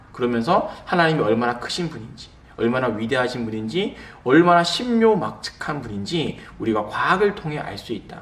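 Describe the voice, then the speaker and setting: The speaker goes at a fairly quick pace with lively intonation and big swings in loudness. The room echo is audible, and background noise is noticeable. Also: man, medium pitch for a man. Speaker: pastor. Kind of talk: lecture. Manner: slurred pronunciation; conversational with fillers.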